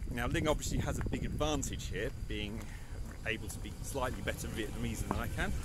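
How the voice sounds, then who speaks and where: A man at a moderate pace, dry with no echo, under loud background noise. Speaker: travel vlogger. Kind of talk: casual vlog chat. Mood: cheerful, laughing. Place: street. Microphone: phone near.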